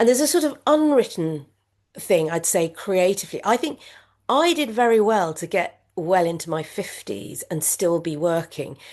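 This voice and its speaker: A woman talks in a British accent, her pitch swinging very widely. She keeps a moderate pace, and the background is quiet. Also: medium pitch for a woman. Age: 60s. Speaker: former media executive, now supermarket worker. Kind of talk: interview conversation. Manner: halting, many fillers and repetitions.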